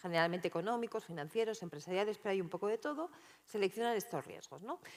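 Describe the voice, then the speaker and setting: With lively intonation, a woman rattles along at a very fast pace. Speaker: political analyst and researcher. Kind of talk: keynote talk. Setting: conference stage with audience.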